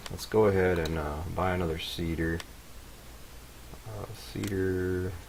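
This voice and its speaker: In a very deep, low pitch, a man mumbles with fairly even intonation. Noticeable background noise and audible room echo surround him. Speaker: game modding tutorial maker. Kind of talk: tutorial. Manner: mumbling; casual.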